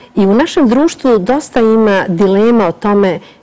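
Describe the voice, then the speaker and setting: Her tone is dark and mellow. The woman talks with lively intonation. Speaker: TV journalist, show host. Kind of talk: TV presenter introduction.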